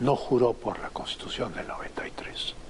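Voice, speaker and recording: A whispering man at a moderate pace. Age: 60s. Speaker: former foreign minister, political commentator. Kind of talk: interview.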